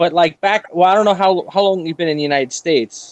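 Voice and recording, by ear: A man talks at a fairly quick pace in a high voice with ordinary pitch variation.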